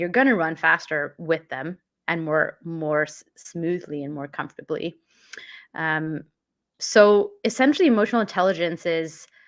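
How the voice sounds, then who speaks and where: With a Canadian accent, a woman in an unremarkable speaking voice talks at a fairly low pitch and a moderate pace, with ordinary pitch variation, in a very clean recording with a silent background. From Canada, born in London. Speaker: mindfulness and emotional intelligence coach. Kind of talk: casual interview.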